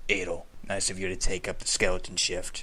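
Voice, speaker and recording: A man does a gravelly, put-on character voice at a fairly quick pace. Clear background noise runs under the recording. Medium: read story. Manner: blunt, tired, casual.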